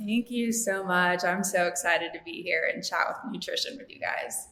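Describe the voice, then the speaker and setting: A woman with a slight Southern US accent talks at a moderate pace and medium pitch, with ordinary pitch variation and big swings in loudness. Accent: slight Southern twang. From California, US. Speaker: dietitian. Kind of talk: podcast interview. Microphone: echoey room.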